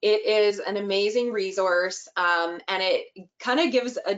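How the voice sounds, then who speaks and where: A woman with an ordinary speaking voice, fairly high in pitch, at a fairly slow pace with lively intonation. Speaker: early childhood inclusion expert. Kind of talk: webinar presentation.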